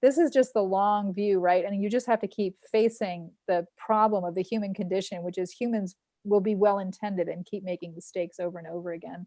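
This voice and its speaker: Dark and mellow in tone, a woman at medium pitch speaks at a fairly quick pace. The sound is dry and close, with no echo. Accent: New York. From New York. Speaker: local news publisher hosting a telethon. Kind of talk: casual interview chat.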